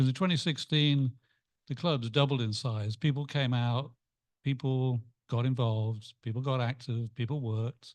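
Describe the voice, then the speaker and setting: Against a quiet background, a man with an English accent speaks at a moderate pace and medium pitch, with ordinary pitch variation. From England. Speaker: club member. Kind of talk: group discussion.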